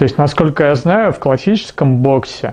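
With lively intonation and a slightly mellow tone, a man speaks at a moderate pace and a fairly high pitch.

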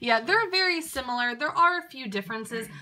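A woman talks loudly at a very fast pace, her pitch high and her tone bright and sharp. Her intonation is lively. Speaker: doll reviewer. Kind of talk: product review. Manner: loud breathing.

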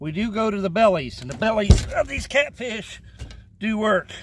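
A man speaks at a high pitch with big swings up and down. His voice carries a slightly husky edge. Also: moderate pace.

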